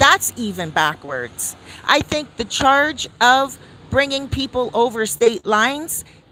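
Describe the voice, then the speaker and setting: A woman's high-pitched, animated voice over noticeable background noise. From Canada, downtown Toronto. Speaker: celebrity news commentator. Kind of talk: casual commentary monologue.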